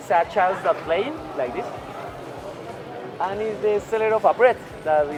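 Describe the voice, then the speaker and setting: Music plays in the background as a man with a Spanish accent speaks at a moderate pace with lively intonation. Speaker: tour guide. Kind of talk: guided walking tour. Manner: halting, many fillers.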